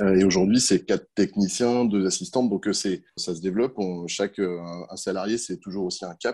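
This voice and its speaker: A man's fairly low voice with a dark, mellow tone, fairly even intonation and a moderate pace. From France, countryside. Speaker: entomologist and pest control business owner. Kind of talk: interview. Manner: hesitant, with fillers.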